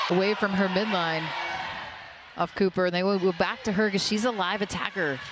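Noticeable background noise sits under a woman speaking at a fairly quick pace. She takes long, frequent pauses, with fairly even intonation and very even loudness. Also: medium pitch for a woman. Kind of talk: live commentary. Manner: analytical; conversational, stumbling.

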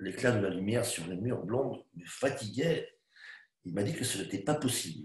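A man with a bright, sharp tone and vocal fry is heard with audible room echo over a quiet background. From Spain, raised in France. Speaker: actor. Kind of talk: dramatized literary reading. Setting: online video call. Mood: weary, subdued, contemplative. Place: home room. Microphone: webcam.

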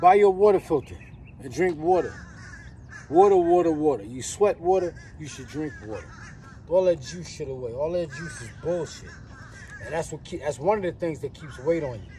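A man speaks with long, frequent pauses and big swings in loudness. The sound is dry with no echo, though noticeable background noise is present. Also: ordinary pitch variation, moderate pace. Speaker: poet giving diet advice. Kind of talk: casual vlog rant. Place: street.

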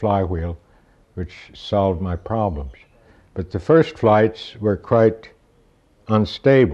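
Over a quiet background, a man's dark, mellow tone carries ordinary pitch variation. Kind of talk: interview answer. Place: workshop.

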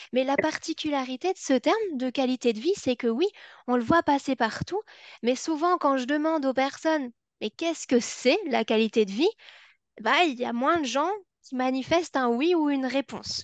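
A woman's high-pitched voice with lively intonation against a quiet background. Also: moderate pace, dry sound with no echo. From Belgium. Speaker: psychology and education researcher, former special educator; former special educator. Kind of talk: webinar lecture. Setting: online webinar. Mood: engaged, slightly playful. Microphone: webcam.

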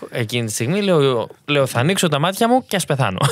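Pitched fairly high, a man is heard. His pitch swings very widely. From Greece. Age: young. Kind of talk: testimony.

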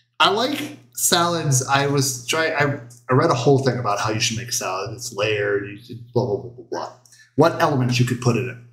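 A man speaks with ordinary pitch variation. The room echo is audible. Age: 40s. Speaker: cooking show host. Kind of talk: casual chat. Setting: home livestream. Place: kitchen. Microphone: camera far.

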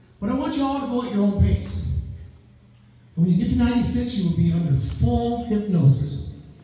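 A man's voice in strong room echo. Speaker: stage hypnotist. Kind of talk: hypnosis induction, stage hypnotist patter. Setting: live stage show with volunteers and audience. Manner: slow, soothing, hypnotic repetition; commanding and authoritative when directing volunteers. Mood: slow, soothing, repetitive. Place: hall. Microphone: camera far.

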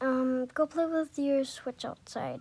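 At a slow pace, a woman with a high pitch and a slightly mellow tone keeps her intonation fairly even.

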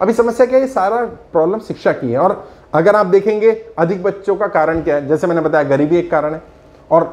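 The man talks at a moderate pace with a high pitch. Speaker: political trainer giving opinion. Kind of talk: commentary.

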